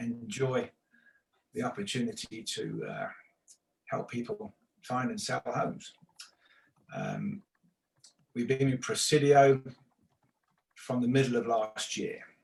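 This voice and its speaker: Speaking in an English accent, a man goes at a fairly slow pace with long, frequent pauses. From England. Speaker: real estate instructor. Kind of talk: online class lecture.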